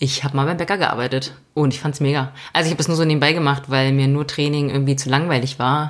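A woman's very deep, low voice at a very fast pace, with hardly any pauses, very even loudness and monotone, flat intonation. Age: 30s. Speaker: podcast co-host, self-employed mountain biker. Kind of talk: casual chat.

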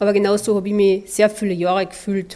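With a Carinthian accent, a woman speaks at a medium pitch and moderate pace in a dark, mellow tone. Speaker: podcast host, mental trainer. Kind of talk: podcast monologue.

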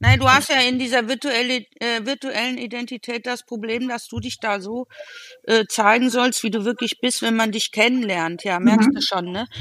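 Noticeable background noise sits behind a woman speaking at a moderate pace, her pitch fairly high and her intonation fairly even. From Cologne, Germany. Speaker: photographer. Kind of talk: casual chat. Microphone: sync problems after minute 22.

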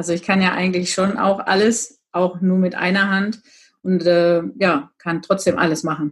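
The woman speaks at a medium pitch. Her pace is moderate and her intonation fairly even. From Germany, Gütersloh (Westphalia). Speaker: office clerk and cupcake baker. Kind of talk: casual interview. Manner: loud.

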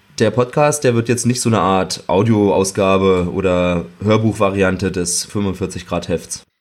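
In a plain, everyday voice, a man talks at a moderate pace with ordinary pitch variation. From Berlin outskirts, Germany. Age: 30s. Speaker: podcast host. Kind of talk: interview. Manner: fluent, scripted-sounding moderation.

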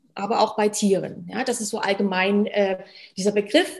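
Somewhat breathy and fairly high in pitch, a woman speaks at a moderate pace. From Germany. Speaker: stress management coach, former medical worker. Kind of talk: interview.

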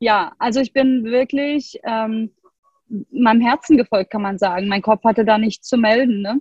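A woman's unremarkable speaking voice, fairly high in pitch with ordinary pitch variation, at a moderate pace. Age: 40s. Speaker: yoga and human design coach. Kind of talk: interview conversation.

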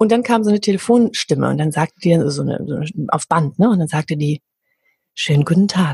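Somewhat breathy speech comes at a fairly quick pace, with a dry, close sound and no echo. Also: woman. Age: 40s. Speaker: voice coach and singer. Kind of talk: interview conversation.

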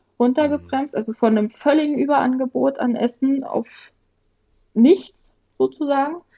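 This woman has a plain, everyday voice. Her pace is moderate and her pitch variation ordinary. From rural Germany (village). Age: 30s. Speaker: guest sharing eating disorder experience. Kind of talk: personal testimony.

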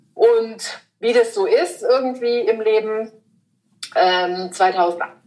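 Her pace very slow, a woman speaks at a fairly high pitch with ordinary pitch variation. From southern Germany, Lake Constance. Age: 40s. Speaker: style consultant. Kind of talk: casual interview. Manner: hesitant, many fillers.

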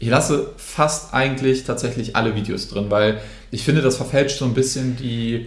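Amid audible room echo, a man with vocal fry talks at a fairly quick pace and a medium pitch. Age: 20s. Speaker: social media influencer. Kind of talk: interview.

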